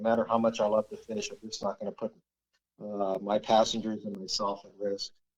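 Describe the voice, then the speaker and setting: Fairly low in pitch, a man speaks at a fairly quick pace. It is a normal speaking voice. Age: 60s. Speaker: fly fishing guide. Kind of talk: casual chat.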